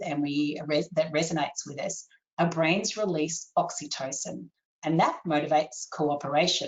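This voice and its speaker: A woman with an Australian accent, fairly low in pitch, at a fairly slow pace. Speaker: copywriter and webinar presenter. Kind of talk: webinar presentation. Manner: animated.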